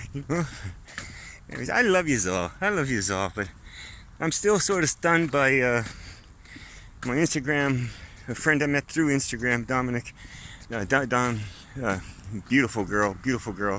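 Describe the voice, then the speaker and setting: A man's bright, sharp tone with lively intonation at a moderate pace, broken by long, frequent pauses. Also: medium pitch for a man. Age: 60s. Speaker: vlogger. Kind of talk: casual monologue vlog. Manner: rambling, conversational.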